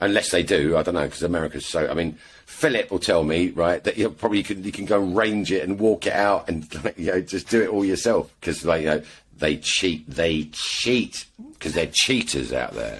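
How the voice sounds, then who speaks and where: A man with an English accent talks at a moderate pace in a very deep, low voice with vocal fry. His intonation is lively. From England. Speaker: airgun shooter. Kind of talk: casual chat.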